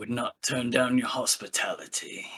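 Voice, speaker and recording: A man performs a raspy put-on character voice. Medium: actual play. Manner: polite, laconic.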